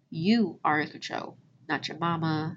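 A woman with an American accent speaks at a very deep, low pitch with vocal fry. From southern Illinois (Cairo). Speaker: podcast host, finance educator. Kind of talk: casual monologue. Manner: animated.

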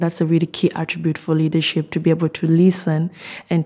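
A woman speaks at a fairly quick pace in a fairly low pitch. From Zambia. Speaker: doctoral student in physiology. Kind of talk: interview reflection.

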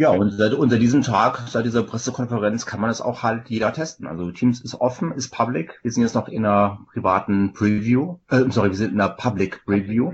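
With hardly any pauses, a man with an unremarkable speaking voice talks at a fairly quick pace, medium pitch and ordinary pitch variation. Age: 40s. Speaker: software company sales manager. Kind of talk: casual tech interview.

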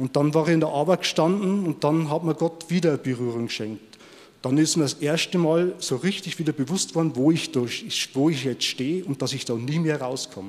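This man has an unremarkable speaking voice, pitched fairly high. He talks at a moderate pace with ordinary pitch variation. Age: 50s. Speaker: former prisoner. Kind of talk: testimony.

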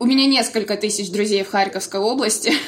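Background noise is noticeable as a woman speaks. Her pitch is fairly high, with ordinary variation. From Belgorod, Russia. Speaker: volunteer organizer, former photographer. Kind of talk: interview.

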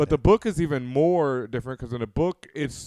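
In an American accent, a man speaks at a very fast pace with an animated tone and ordinary pitch variation, the sound dry and close with no echo on a very clean recording with a silent background. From US, Houston. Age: 30s. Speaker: podcast host. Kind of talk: casual chat.

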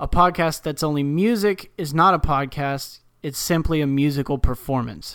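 A man with a plain, everyday voice and an American accent, fairly high in pitch with ordinary pitch variation and hardly any pauses, on a very clean recording with a silent background. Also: moderate pace. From North Texas, US. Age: 20s. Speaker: podcast co-host. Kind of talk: casual chat; reading aloud.

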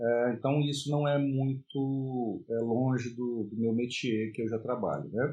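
A man's somewhat breathy voice at medium pitch, with ordinary pitch variation. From Brasília, Brazil. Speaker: university professor. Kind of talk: self-recorded course presentation. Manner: hesitant, with fillers.

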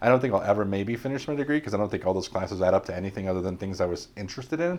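A man with a fairly low pitch and lively intonation, talking at a very fast pace over a quiet background. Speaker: security professional. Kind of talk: casual interview.

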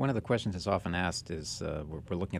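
This man's speech has ordinary pitch variation. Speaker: news editor and co-host. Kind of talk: interview discussion.

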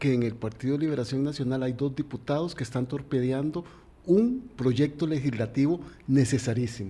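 At a moderate pace, the voice has a dark, mellow tone, is somewhat breathy, and shows ordinary pitch variation. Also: man. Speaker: radio co-host. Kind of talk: interview. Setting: studio.

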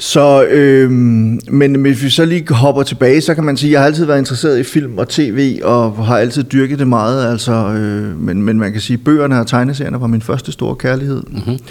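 Speaking at a medium pitch, a man keeps a moderate pace and ordinary variation in pitch. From Denmark, Silkeborg (Jutland). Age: 50s. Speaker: film critic and author. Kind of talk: casual interview. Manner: hesitant, many fillers.

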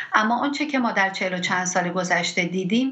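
Over noticeable background noise, a woman talks at a medium pitch and a fairly quick pace. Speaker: physician. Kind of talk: interview.

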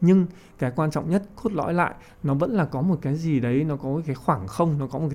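A man with a fairly high pitch and lively intonation talks at a moderate pace in an unremarkable speaking voice. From Vietnam. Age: 30s. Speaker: poet and physics teacher. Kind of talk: interview discussion.

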